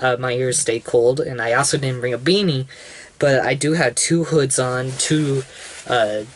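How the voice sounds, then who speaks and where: A man's voice with fairly even intonation. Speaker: vlogger. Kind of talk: casual vlog chat. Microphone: phone near.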